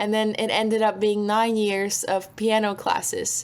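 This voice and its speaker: A woman speaks with a Slovak accent. Her pitch is medium and her pace moderate. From Slovakia, Bratislava. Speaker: singer-songwriter. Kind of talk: interview.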